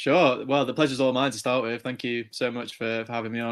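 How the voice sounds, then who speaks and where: In an English accent, a man speaks with monotone, flat intonation. The recording is very clean, with a silent background. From England, near Chester. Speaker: motorsport journalist. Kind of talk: podcast interview.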